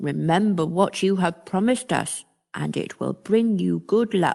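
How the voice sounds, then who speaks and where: A woman puts on a character voice. She speaks at a moderate pace in a medium pitch. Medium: read story.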